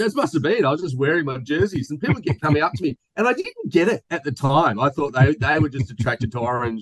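Someone talks very fast with an Australian accent, in a somewhat breathy voice with lively intonation. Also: man, fairly high pitch for a man, hardly any pauses, dry, close sound with no echo. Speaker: podcast host. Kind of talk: casual chat. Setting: video call. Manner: joking, animated.

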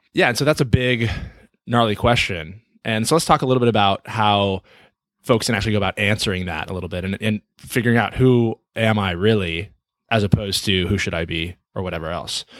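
A man with a plain, everyday voice and fairly low pitch speaks at a fairly quick pace with ordinary pitch variation, on a very clean recording with a silent background and a dry, close sound with no echo. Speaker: podcast host and coach. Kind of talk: casual conversation.

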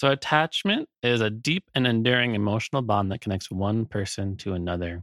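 A plain, everyday voice: a man at medium pitch with ordinary pitch variation, a fairly quick pace and hardly any pauses. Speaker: podcast host. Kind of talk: interview.

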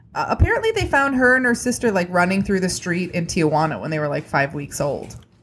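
The delivery is very fast, with hardly any pauses and very wide pitch swings. Noticeable background noise runs underneath. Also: woman, medium pitch for a woman. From small town. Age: 30s. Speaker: comedian. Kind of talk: casual chat. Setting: video call.

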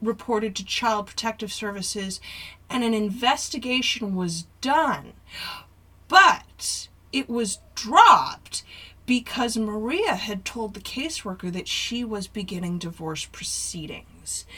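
A woman with a fairly high pitch speaks at a fairly slow pace with lively intonation. Her loudness swings widely over noticeable background noise. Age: 40s. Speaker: podcast co-host. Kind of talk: casual chat.

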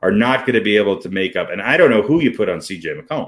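A man speaks at a fairly quick pace with medium pitch. It is an ordinary speaking voice. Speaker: sports podcast co-host. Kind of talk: casual sports banter. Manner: joking, bantering.

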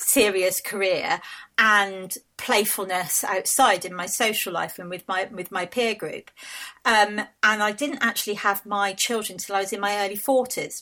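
A woman at medium pitch and a moderate pace, with fairly even intonation. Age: 50s. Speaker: family rave organiser. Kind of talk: interview. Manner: halting.

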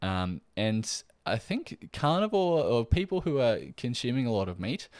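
Lively intonation comes through in an Australian accent on a very clean recording with a silent background. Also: man. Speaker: podcast host, nutritional therapist. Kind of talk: solo educational podcast. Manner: casual, with frequent fillers.

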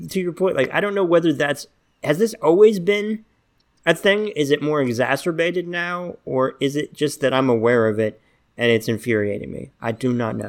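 A fairly high-pitched man with a slight Southern US accent, moderate pace and very wide pitch swings, in a very clean recording with a silent background. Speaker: podcast host. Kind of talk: casual interview chat.

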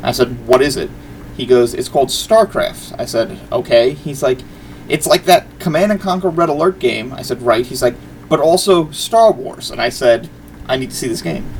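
A man with an American accent talks at a medium pace as background noise carries through clearly. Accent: New York accent, varies by who he talks to. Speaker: video game podcast co-host. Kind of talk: casual chat. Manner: halting, many fillers and restarts.

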